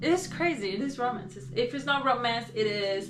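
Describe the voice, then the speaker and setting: A woman's voice with very wide pitch swings, audible room echo and music in the background. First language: Portuguese. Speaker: booktuber. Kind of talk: casual vlog chat. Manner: soft-spoken; halting, many fillers.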